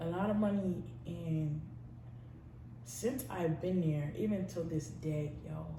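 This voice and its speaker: Someone with an American accent speaks at a very slow pace with long, frequent pauses and ordinary pitch variation, in audible room echo. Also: woman, very deep, low pitch for a woman. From New York City, Brooklyn. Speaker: YouTuber, college student. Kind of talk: personal testimony vlog. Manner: casual, slangy; halting with fillers.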